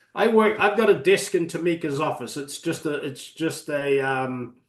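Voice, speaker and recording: With a New Zealand accent, a man speaks at a moderate pace with lively intonation. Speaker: reverse mortgage specialist. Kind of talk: webinar presentation.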